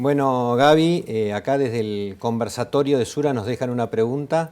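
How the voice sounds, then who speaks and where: A man's unremarkable speaking voice at medium pitch and moderate pace, with ordinary pitch variation, in a very clean recording with a silent background. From Argentina. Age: 50s. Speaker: business administrator in insurance. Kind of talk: conversational business discussion.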